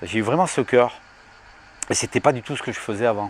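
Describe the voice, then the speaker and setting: There is noticeable background noise as a man speaks at a fairly quick pace. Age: 60s. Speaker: evangelist, healing minister. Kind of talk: testimony. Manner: halting, with many fillers.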